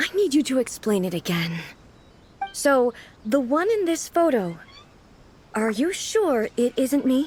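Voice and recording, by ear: Using a put-on character voice, a woman speaks at a high pitch with big pitch swings and a fairly slow pace with long, frequent pauses. Her tone is slightly mellow with a slightly husky edge.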